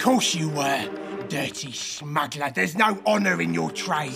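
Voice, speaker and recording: Over clear background music, a man uses a put-on character voice, fairly high in pitch and fairly slow in pace. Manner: menacing, snarling.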